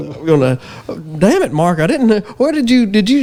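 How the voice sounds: A man with a rural Southern US accent speaks with very wide pitch swings over noticeable background noise. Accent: rural Southern US drawl.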